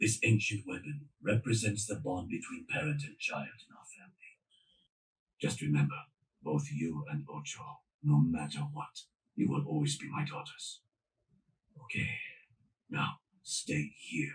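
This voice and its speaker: A cartoonish character voice at a moderate pace, broken by long, frequent pauses. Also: man, medium pitch for a man. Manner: firm, authoritative.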